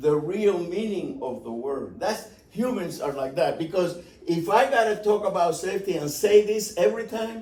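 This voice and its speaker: With a slight Cuban accent, a man speaks at a fairly slow pace with lively intonation, and audible room echo. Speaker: aviation safety instructor. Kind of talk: seminar presentation. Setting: talk at an airport. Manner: conversational, with repetitions.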